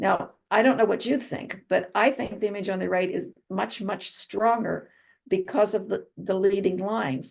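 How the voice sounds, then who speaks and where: A woman with an American accent speaks at a medium pitch with vocal fry. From Pittsburgh, Pennsylvania. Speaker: photographer giving a talk. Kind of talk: presentation to a club. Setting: video call. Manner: fast.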